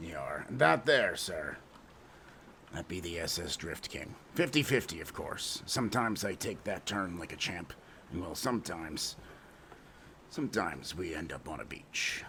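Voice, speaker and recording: A man puts on a character voice, raspy and very deep, at a moderate pace with long, frequent pauses. Clear background noise runs under it. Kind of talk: comic pirate speech. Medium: game stream. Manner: blustering, punctuated with "yar".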